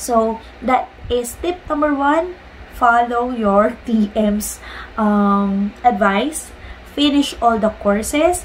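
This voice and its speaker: Over light background noise, a woman speaks with a fairly high pitch. Her pace is very slow and her intonation lively. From Philippines. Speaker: vlogger and online ESL teacher; vlogger, online ESL teacher. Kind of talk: casual vlog tutorial; casual vlog chat. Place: home room. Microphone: phone near.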